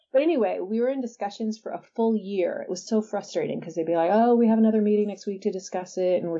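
In a Californian accent, a woman speaks with ordinary pitch variation. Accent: Californian American. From San Diego, California. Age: 50s. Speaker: author. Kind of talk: interview.

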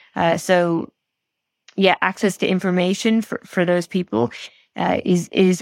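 Low-ish in pitch, a woman's voice comes at a fairly slow pace with ordinary pitch variation. The recording is very clean, silent in the background, with a dry, close sound and no echo. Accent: Irish. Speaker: diplomacy scholar and former diplomat. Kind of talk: interview conversation. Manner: halting, many restarts.

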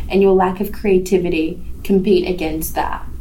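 The woman talks rather slowly, her voice echoing in the room amid clearly audible background noise. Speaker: podcast host. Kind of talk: casual chat.

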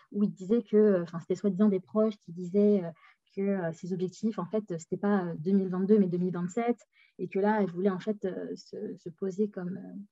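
A woman's medium-pitched voice moves at a moderate pace, its intonation fairly even. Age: 20s. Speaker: political science graduate. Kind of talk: casual chat.

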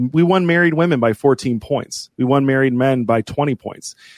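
In a plain, everyday voice with an American accent, a man speaks at a moderate pace and medium pitch with ordinary pitch variation, the sound dry and close with no echo against a quiet background. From US Midwest. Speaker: political advocacy group president. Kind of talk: podcast interview.

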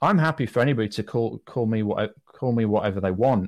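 A man with a British accent talks at a fairly quick pace on a very clean recording with a silent background. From Britain. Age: 40s. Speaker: businessman and podcaster. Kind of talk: interview conversation.

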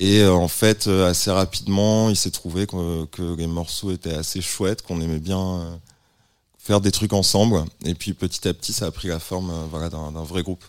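With a very deep, low voice and fairly even intonation, a man talks at a moderate pace in a very clean recording with a silent background. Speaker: musician. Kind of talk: casual chat.

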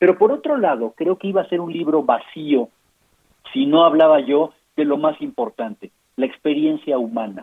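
Speaking at a moderate pace, this man has an unremarkable speaking voice, a fairly high pitch and lively intonation. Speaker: physician and health policy author. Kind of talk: interview. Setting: phone call.

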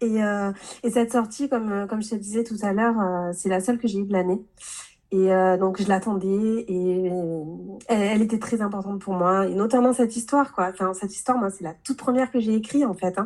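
This woman's medium-pitched voice moves at a moderate pace with fairly even intonation. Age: 30s. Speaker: novelist. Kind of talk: interview. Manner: halting, many hesitations and repeats.

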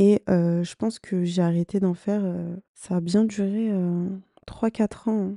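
Against a quiet background, a woman speaks at a medium pitch in a dark, mellow tone with monotone, flat intonation, the sound dry and close with no echo. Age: 20s. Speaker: podcast host and content creator. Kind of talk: casual solo monologue. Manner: hesitant, many fillers.

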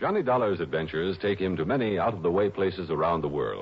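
A man at a fairly quick pace, low-pitched with vocal fry, a slightly husky edge and big pitch swings.

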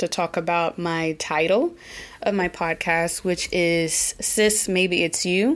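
Heard in a very clean recording with a silent background, a woman of medium pitch speaks with an American accent. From Oklahoma, US. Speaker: podcast host. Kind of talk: casual solo podcast monologue. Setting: living in Germany.

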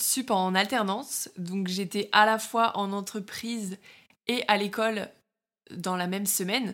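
A woman speaks at a fairly slow pace in a plain, everyday voice, medium in pitch with fairly even intonation, on a very clean recording with a silent background. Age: 20s. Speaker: podcast host, online fitness coach. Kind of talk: solo monologue podcast. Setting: alone in her bedroom.

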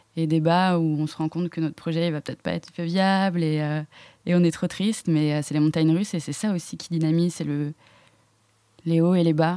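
Monotone and flat, a woman's voice moves at a fairly quick pace in a fairly low pitch with a dark, mellow tone. The recording is very clean, with a silent background. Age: 20s. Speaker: student entrepreneur. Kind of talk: interview, asking questions. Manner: hesitant, many fillers.

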